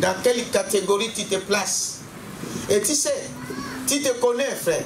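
A man's high-pitched voice with lively intonation, a fairly slow pace and clear background noise

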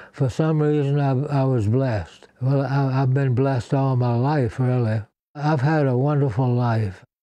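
An American man speaks at a moderate pace and medium pitch, his intonation fairly even and his tone dark and mellow. The sound is dry with no echo, over a quiet background. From US South. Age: 80s+. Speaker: war veteran. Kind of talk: interview; interview answer. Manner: halting. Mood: warm, grateful. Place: home room.

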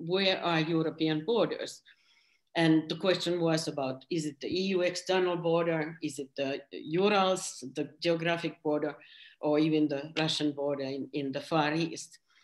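A plain, everyday voice, with ordinary pitch variation and a fairly slow pace. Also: woman. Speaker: former member of European Parliament. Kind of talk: panel presentation. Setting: video call.

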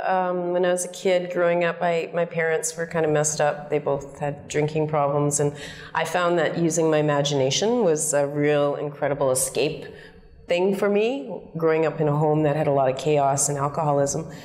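This woman has a very deep, low pitch and a Canadian accent. Her intonation stays fairly even. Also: moderate pace, very even loudness. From Calgary, Alberta, Canada. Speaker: actress. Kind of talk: interview answer. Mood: warm, laughing, storytelling. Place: home room.

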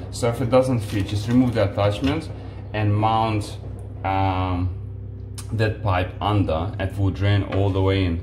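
A man's fairly low voice at a fairly slow pace, with fairly even intonation over clear background noise.

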